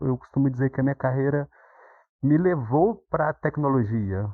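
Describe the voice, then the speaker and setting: This man's voice sits at a medium pitch with ordinary variation, and he speaks at a moderate pace. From Minas Gerais, Brazil. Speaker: psychology graduate, former military, IT worker. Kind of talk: podcast interview.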